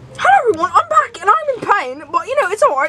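In a put-on character voice, the speaker talks at a very fast pace with extremely high pitch and very wide pitch swings. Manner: mocking, put-on.

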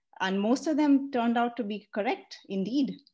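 In a quiet background, a woman speaks at a moderate pace. Her tone is dark and mellow, with ordinary pitch variation. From India. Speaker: AI ethics researcher; panelist. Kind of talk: presentation and panel discussion. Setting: online webinar. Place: home room. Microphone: webcam.

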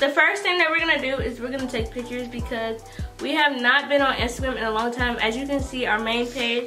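A woman speaks very fast in a high voice with ordinary pitch variation, clear music playing in the background. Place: home room. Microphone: camera far.

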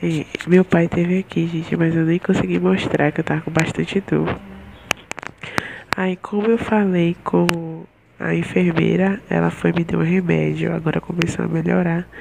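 There is noticeable noise in the background. A woman talks at a moderate pace. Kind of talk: casual vlog chat. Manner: weak, drowsy voice, in pain. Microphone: earbuds.

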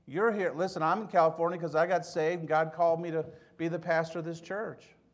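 Speaking at a fairly quick pace, a man with an American accent has a high-pitched voice. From US Midwest (Michigan). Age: 70s. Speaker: pastor. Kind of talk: sermon. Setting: church. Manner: conversational, humorous. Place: church. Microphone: podium.

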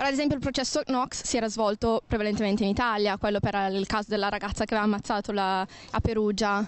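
A woman speaks at a fast pace with a medium pitch. Her intonation stays fairly even, and the sound is dry and close with no echo.

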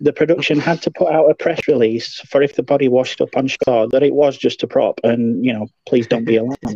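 A plain, everyday voice moves at a fairly quick pace. Its pitch varies in an ordinary way. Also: man. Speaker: podcast co-host. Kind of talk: casual chat.

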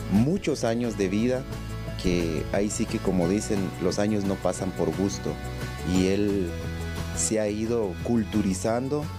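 Clear music plays in the background as the speech unfolds at a fairly slow pace. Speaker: radio announcer. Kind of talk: interview answer. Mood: admiring, respectful. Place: office.

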